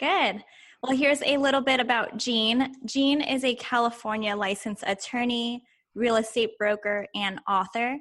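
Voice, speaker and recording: A woman has an ordinary speaking voice at a fairly high pitch, with ordinary pitch variation and very even loudness. She speaks at a moderate pace against a quiet background. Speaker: podcast co-host. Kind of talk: interview.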